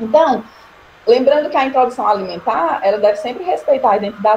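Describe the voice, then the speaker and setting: A woman speaks at a fairly quick pace and a high pitch. Noticeable background noise is present. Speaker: nursing lecturer. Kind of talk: online lecture. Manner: fast.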